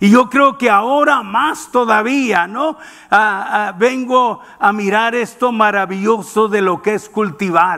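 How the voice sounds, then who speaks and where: Against a quiet background, a man speaks in a raised, projected voice at a fairly slow pace with ordinary pitch variation. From Mexicali, northern Mexico; Mexico. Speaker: preacher. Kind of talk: sermon. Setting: church. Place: church. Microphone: headset.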